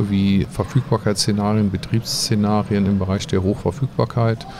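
The man's voice sits fairly low, and noticeable background noise can be heard behind it. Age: 50s. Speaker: IT consultancy founder and CEO. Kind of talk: interview. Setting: conference venue. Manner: halting.

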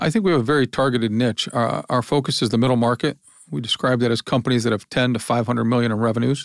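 A man speaks at a very fast pace with a Midwestern American accent. His pitch is medium, and the recording is very clean with a silent background. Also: ordinary pitch variation, very even loudness. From Ohio, US Midwest. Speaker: business founder and publisher. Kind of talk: interview conversation.

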